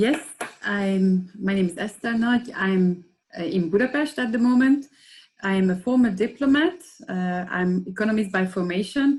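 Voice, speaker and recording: Speaking at a moderate pace, a woman uses a somewhat breathy, medium-pitched voice with lively intonation. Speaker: former diplomat and activist. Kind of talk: panel discussion.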